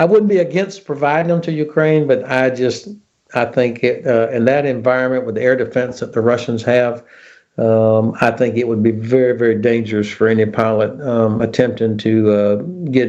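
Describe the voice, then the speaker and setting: A dark, mellow voice in an American accent, with ordinary pitch variation and a moderate pace. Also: man. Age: 60s. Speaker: retired army general. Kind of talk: interview.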